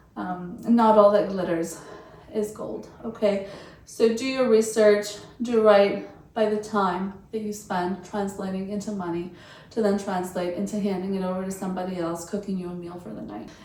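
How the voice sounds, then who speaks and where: A woman speaks at a moderate pace and medium pitch, with fairly even intonation and big swings in loudness. There is audible room echo and noticeable background noise. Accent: non-native. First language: not English. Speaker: lifestyle and travel vlogger. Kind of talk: casual review monologue to camera. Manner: conversational, with hesitations and fillers.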